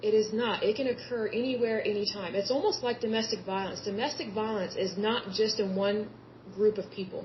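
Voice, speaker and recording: A woman's plain, everyday voice with an American accent, fairly high in pitch, at a fairly quick pace. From Oklahoma (Yukon). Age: 30s. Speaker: podcast host. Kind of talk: solo podcast monologue. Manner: conversational, repetitive.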